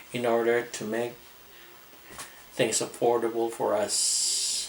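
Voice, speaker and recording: A man at a medium pitch, talking at a very slow pace over noticeable background noise. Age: 60s. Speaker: retiree vlogger. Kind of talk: casual vlog talk. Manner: halting.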